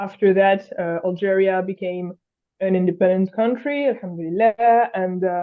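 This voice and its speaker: A woman with a French accent speaks at a moderate pace, her medium pitch showing ordinary variation. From France. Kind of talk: interview. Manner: halting, many fillers.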